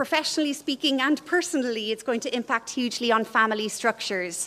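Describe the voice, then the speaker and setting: The speaker talks at a moderate pace in an Irish accent, with ordinary pitch variation. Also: woman. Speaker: professor. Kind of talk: lecture. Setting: conference stage with audience.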